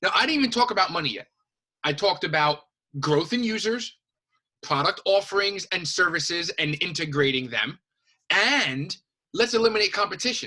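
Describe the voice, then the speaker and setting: A man with a high pitch and a bright, sharp, animated tone projects his raised voice at a moderate pace. His pitch swings very widely, and he leaves long, frequent pauses. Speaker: high school teacher. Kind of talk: lecture.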